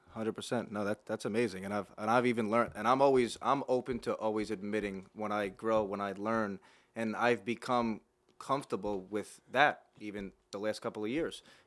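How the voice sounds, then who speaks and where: A man speaks with an American accent at a fairly low pitch and a fairly quick pace, in a plain, everyday voice. His intonation stays fairly even on a very clean recording with a silent background. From Long Island, New York. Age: 30s. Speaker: podcast host, mortgage lender. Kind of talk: casual chat.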